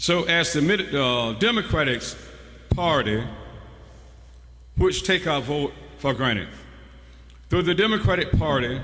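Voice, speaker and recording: Speaking at a fairly slow pace with long, frequent pauses, a man uses a fairly high pitch and lively intonation. His loudness stays very even, and audible room echo surrounds the voice. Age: 60s. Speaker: preacher. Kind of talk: sermon. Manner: call-and-response preaching.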